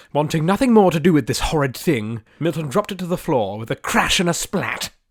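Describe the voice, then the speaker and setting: In a very clean recording with a silent background, a man with a plain, everyday voice speaks at a moderate pace with lively intonation. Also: dry, close sound with no echo. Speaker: audiobook narrator. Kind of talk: audiobook narration, fantasy adventure.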